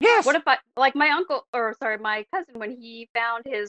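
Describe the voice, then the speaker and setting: A raised, projected voice with an American accent, bright and sharp in tone, in a dry, close recording with no echo. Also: woman. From Oregon, Portland area. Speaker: DNA sleuth. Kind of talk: interview.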